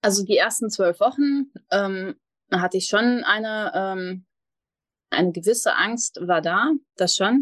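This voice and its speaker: Speaking at a very slow pace with long, frequent pauses, a woman keeps a very even loudness while her fairly high voice carries lively intonation. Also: dry, close sound with no echo. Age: 30s. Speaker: mindfulness coach. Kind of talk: podcast interview.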